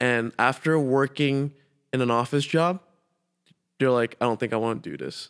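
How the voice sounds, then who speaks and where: In a very clean recording with a silent background, a man with an American accent speaks at a moderate pace and medium pitch, with ordinary pitch variation and long, frequent pauses. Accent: slight Malaysian accent, mostly American. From Malaysia. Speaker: guest. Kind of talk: casual chat.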